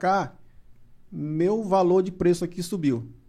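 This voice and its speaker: A high-pitched man with a dark, mellow tone at a fairly slow pace, against a quiet background. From Maranhão, Brazil. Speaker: music producer. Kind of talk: casual chat.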